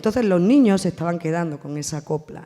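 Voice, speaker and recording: A woman's very deep, low voice with a dark, mellow tone, on a very clean recording against a silent background. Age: 50s. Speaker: actress. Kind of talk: round table talk. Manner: animated.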